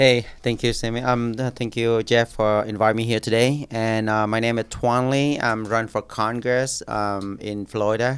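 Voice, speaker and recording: A man with a Vietnamese accent speaks at a moderate pace in a medium pitch, with hardly any pauses and a monotone, flat intonation. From Vietnam, moved to Orlando area at 11-12. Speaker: congressional candidate. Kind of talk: podcast interview. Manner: halting, many fillers and repeats.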